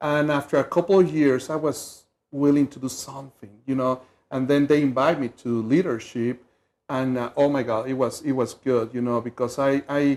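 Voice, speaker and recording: In a Mexican accent, a man speaks at a moderate pace with a medium pitch and fairly even intonation. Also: quiet background. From Mexico City, Mexico. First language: Spanish. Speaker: community leadership volunteer. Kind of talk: TV interview. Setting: TV studio.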